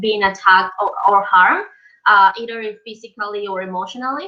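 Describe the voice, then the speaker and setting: This woman talks at a fairly quick pace. Her intonation is fairly even. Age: 20s. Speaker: hospitality professional. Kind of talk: webinar panel discussion. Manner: halting, many fillers.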